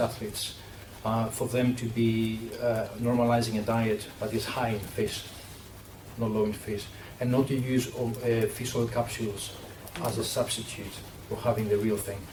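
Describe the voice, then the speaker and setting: A man with a Greek accent speaks in a flat monotone. Noticeable background noise and audible room echo surround him. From Greece. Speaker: sports nutritionist. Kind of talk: panel discussion.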